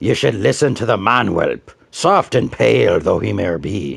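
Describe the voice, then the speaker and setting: Using a put-on character voice, a man speaks in a raspy, fairly low register at a moderate pace. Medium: read story. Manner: blunt, scornful.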